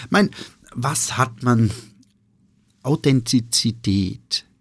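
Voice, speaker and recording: Somewhat breathy, a man talks at a medium pitch. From Austria, eastern Styria. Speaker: restaurateur and sommelier. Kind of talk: casual interview. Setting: studio. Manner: hesitant, many fillers.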